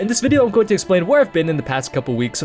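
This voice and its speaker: Music plays behind a quiet man whose intonation is lively. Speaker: gaming YouTuber. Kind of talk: unscripted channel update vlog. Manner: quiet, low energy.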